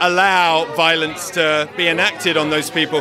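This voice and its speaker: Crowd noise fills the background. A man talks at a moderate pace. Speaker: film producer. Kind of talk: interview. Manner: halting.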